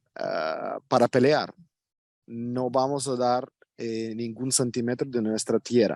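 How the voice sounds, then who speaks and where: In a Russian accent, a man speaks at a very slow pace with fairly even intonation, the sound dry and close with no echo. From Ukraine. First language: Russian (speaking Spanish). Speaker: Ukrainian expatriate interviewee. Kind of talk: interview. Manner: halting, with many fillers.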